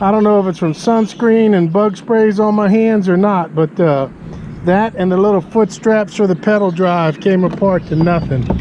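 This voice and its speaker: Over noticeable background noise, a man speaks at a high pitch with very even loudness. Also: ordinary pitch variation, moderate pace. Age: 60s. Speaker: kayak fishing youtuber. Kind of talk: product review. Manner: casual, conversational.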